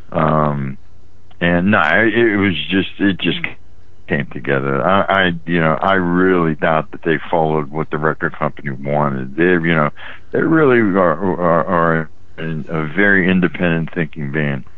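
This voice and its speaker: A man with an American accent, very deep and low in pitch with ordinary pitch variation, with audible room echo and noticeable background noise. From West Virginia (Weirton area). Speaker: rock musician and songwriter. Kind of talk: interview. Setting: phone call.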